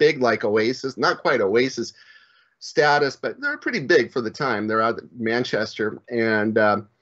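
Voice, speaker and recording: In an unremarkable speaking voice, a man with an American accent talks at a medium pitch and a moderate pace. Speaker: live stream talk show host. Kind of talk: casual chat.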